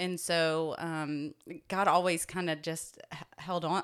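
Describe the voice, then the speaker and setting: Fairly even intonation from an unremarkable speaking voice. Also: woman. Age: 40s. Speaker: pastor. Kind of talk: casual chat.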